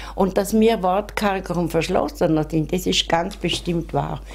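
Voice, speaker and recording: In a Vorarlberg accent, a woman speaks at a fairly low pitch with fairly even intonation. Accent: Vorarlberg Alemannic. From Bludenz, Vorarlberg, Austria. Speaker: author. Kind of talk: interview answer. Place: home room. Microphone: handheld.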